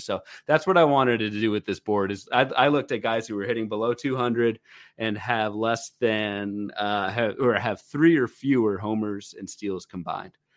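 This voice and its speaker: At a moderate pace, a man speaks in a normal speaking voice, medium in pitch with ordinary pitch variation. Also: very clean recording, silent background. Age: 30s. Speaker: fantasy baseball podcast co-host. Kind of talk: casual chat.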